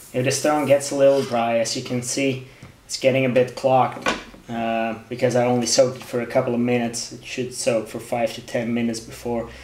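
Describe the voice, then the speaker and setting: A man at a medium pitch with a monotone, flat intonation and fairly quick pace, amid noticeable background noise and audible room echo. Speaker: knife sharpening hobbyist. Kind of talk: tutorial. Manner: halting, many fillers.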